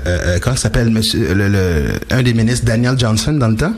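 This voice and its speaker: Over noticeable background noise and audible room echo, a man talks at a fairly quick pace with very even loudness. His pitch is medium with ordinary variation. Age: 40s. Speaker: speaker, radio host and DJ. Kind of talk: radio interview. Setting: radio studio. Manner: expressive.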